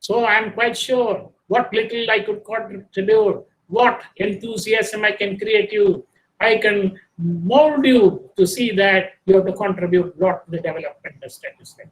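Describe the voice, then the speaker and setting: A high-pitched man at a fairly slow pace, his intonation fairly even. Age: 80s+. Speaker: retired statistics professor, guest lecturer. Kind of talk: lecture. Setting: video call. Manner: formal.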